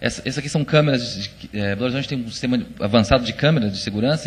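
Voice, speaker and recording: This man talks at a very fast pace, his medium pitch showing ordinary variation. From Minas Gerais, Brazil. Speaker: conference speaker. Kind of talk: presentation talk. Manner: hesitant, many fillers.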